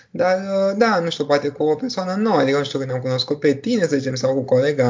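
A man's voice carries lively intonation. It sounds somewhat breathy. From Romania, Bucharest. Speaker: doctor. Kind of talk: interview. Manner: halting.

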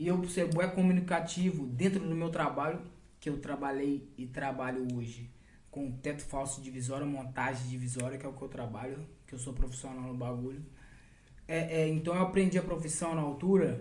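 In a room with audible echo, a man speaks at a moderate pace in a fairly high pitch, sounding somewhat breathy. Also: ordinary pitch variation. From Brazil. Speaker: funk MC. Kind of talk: casual chat.

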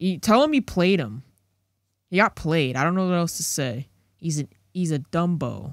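A man speaks in an animated tone with a high pitch, lively intonation and a moderate pace, leaving long, frequent pauses, in a very clean recording with a silent background and a dry, close sound with no echo. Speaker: podcast co-host. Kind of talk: casual chat.

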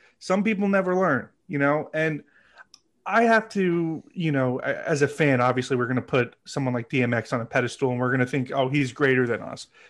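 In a plain, everyday voice, a man speaks at a moderate pace and a fairly high pitch with ordinary pitch variation against a quiet background. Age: 30s. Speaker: podcast guest. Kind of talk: casual chat.

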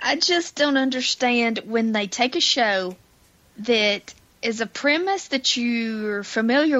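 With an ordinary speaking voice, a woman talks at a fairly slow pace and fairly high pitch, her intonation lively. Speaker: podcast co-host. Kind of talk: casual chat.

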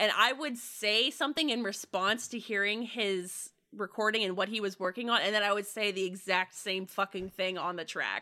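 At a moderate pace with hardly any pauses, a woman speaks in a bright, sharp, animated tone at a medium pitch, with ordinary pitch variation. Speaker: actual-play podcast performer. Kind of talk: casual chat. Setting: remote call.

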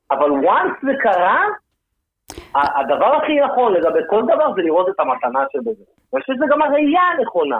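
This man's voice sits extremely high in pitch and swings very widely up and down. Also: moderate pace. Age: 40s. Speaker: actor and stand-up comedian. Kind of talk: casual podcast interview.

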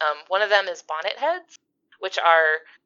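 A woman's plain, everyday voice with lively intonation. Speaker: podcast guest. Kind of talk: casual chat.

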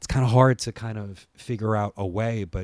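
A man speaks at a moderate pace with ordinary pitch variation. It is an unremarkable speaking voice. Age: 30s. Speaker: podcast host and wrestling producer. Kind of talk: solo podcast monologue. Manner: casual, many filler words.

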